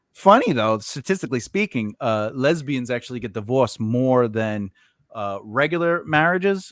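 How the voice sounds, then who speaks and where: With a New York accent, a man speaks at a moderate pace and medium pitch, his intonation lively and the sound dry and close with no echo. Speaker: podcast host. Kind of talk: casual chat. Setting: podcast recording.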